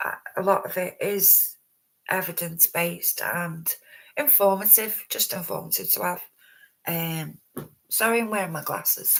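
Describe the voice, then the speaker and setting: Someone mumbles at a fairly slow pace. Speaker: true crime livestreamer. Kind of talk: live stream commentary. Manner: halting, many fillers; mumbling.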